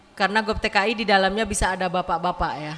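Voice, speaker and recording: Noticeable background noise sits behind a woman whose pitch moves in a typical way. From West Java, Sundanese area (Dayeuhluhur). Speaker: community women's organization leader. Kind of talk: welcome speech. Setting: community hall event with audience. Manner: casual, conversational.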